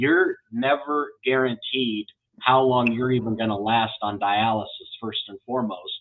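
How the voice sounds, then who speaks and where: An ordinary speaking voice in an American accent moves at a fairly slow pace with fairly even intonation. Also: man, medium pitch for a man. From Iowa, US Midwest. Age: 40s. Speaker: kidney transplant advocate host. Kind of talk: interview.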